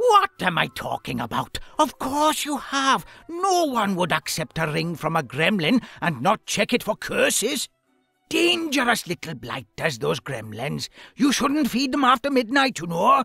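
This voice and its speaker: A put-on character voice at a fairly high pitch goes at a moderate pace, with faint music in the background. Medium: video game. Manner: excitable, rambling.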